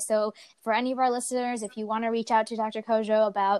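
Speaking fast at a fairly high pitch, a woman has a clear, smooth, slightly mellow tone with little pitch movement, in a dry, close sound with no echo.

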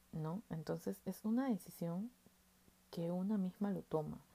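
A woman's medium-pitched, somewhat breathy voice, dark and mellow in tone, at a fairly slow pace. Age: 20s. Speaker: podcast host. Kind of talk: casual monologue.

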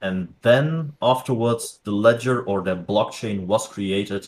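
Speaking fairly slowly, a man has a Dutch accent. His medium pitch carries ordinary variation. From Netherlands. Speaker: crypto educator. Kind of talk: interview. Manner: halting.

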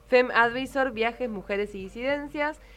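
At a moderate pace, a woman speaks in a fairly high pitch with very wide pitch swings. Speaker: radio host. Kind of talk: radio talk show. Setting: radio studio.

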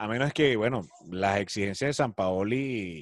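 Fairly low in pitch, a man with a plain, everyday voice speaks at a fairly slow pace with lively intonation. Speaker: sports podcast host. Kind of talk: casual sports talk.

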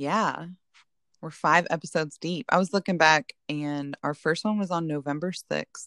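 A woman with an American accent talks at a moderate pace, fairly low in pitch with ordinary pitch variation, in an ordinary speaking voice. The recording is very clean with a silent background, and the sound is dry and close with no echo. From northern Indiana. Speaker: podcast host. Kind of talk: casual chat.

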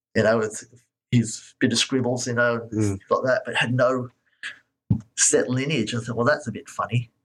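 This man, with an Australian accent, talks at a medium pitch in a monotone, flat intonation, leaving long, frequent pauses. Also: moderate pace. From Australia (moved from Scotland as a baby). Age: 50s. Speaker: martial arts teacher. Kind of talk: interview.

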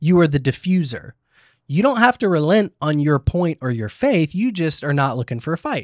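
An ordinary speaking voice with lively intonation moves at a moderate pace, recorded very cleanly with a silent background and a dry, close sound with no echo. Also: man. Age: 30s. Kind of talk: casual chat about faith. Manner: casual, rambling.

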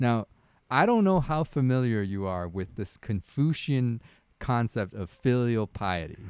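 The man has an ordinary speaking voice, medium in pitch, with lively intonation at a fairly slow pace. The recording is very clean with a silent background and a dry, close sound with no echo. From Canada. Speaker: podcast co-host, family doctor. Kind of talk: casual chat. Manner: laughs often.

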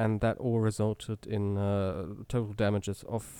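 A man with a German accent speaks at a very slow pace in a dark, mellow tone, on a very clean recording with a silent background. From Germany. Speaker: motorsport journalist. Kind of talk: casual chat.

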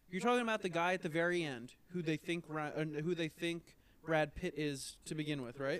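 Pitched fairly high, a man speaks in a normal speaking voice. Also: ordinary pitch variation, fairly quick pace. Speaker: podcast co-host. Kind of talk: casual chat.

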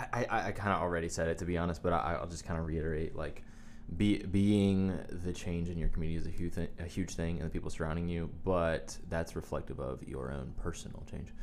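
In a room with audible echo, a man with an American accent and a very deep, low pitch speaks very fast with fairly even intonation. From US South, Wilmington. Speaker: pastor's son, musician. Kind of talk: casual chat.

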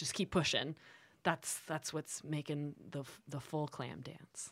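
A woman speaks with a very deep, low pitch and monotone, flat intonation at a moderate pace. The recording is very clean, with a silent background. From Los Angeles, US. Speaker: actress and filmmaker. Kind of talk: casual chat.

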